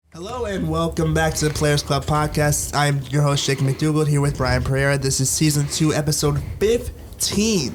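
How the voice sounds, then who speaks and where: In an American accent, a man speaks at a moderate pace with very even loudness. Noticeable background noise and audible room echo are present. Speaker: sports podcast host. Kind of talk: casual chat.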